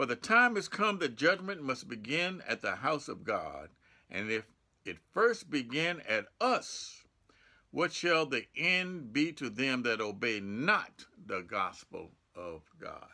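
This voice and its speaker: With an American accent, a man speaks very slowly, his fairly high voice swinging very widely in pitch, with vocal fry and a bright, sharp tone. The background is quiet. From United States. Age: 70s. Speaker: pastor. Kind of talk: sermon. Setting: church. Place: home room. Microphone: phone near.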